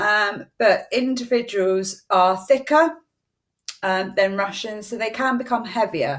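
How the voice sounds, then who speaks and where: This is an ordinary speaking voice with lively intonation. The recording is very clean, with a silent background. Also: woman. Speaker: eyelash extension trainer. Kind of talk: live-streamed tutorial. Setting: Facebook live stream.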